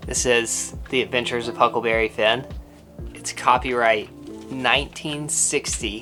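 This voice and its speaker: Music plays in the background. Over it, a woman with a very deep, low pitch speaks with ordinary pitch variation. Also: moderate pace. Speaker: travel vlogger. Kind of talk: casual talk to camera.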